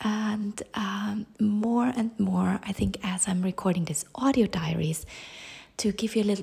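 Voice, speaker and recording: A woman of medium pitch speaks fairly slowly in a dark, mellow, somewhat breathy tone with fairly even intonation. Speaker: podcast host. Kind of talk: audio diary. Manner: halting, many fillers.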